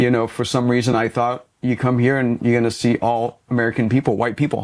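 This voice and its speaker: Speaking at a fairly quick pace, a man holds a medium pitch, flat monotone intonation and very even loudness. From Lebanon, moved to US at about eleven. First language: Arabic. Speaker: business coach. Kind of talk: podcast interview.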